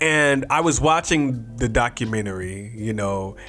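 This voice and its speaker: Music plays behind a man with a medium pitch. He speaks at a fairly slow pace with lively intonation. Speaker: youtube commentator. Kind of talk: casual commentary. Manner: casual, conversational.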